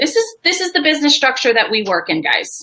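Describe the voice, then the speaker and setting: With very wide pitch swings, the speaker uses a raised, projected voice with a bright, sharp tone. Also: woman. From New York. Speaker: business strategist. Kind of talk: live webinar presentation. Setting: live video stream. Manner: fast.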